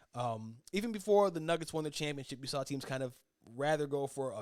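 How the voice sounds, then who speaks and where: This is a man's voice. His pitch is fairly high. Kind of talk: solo sports podcast commentary. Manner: fast; stumbling, self-correcting.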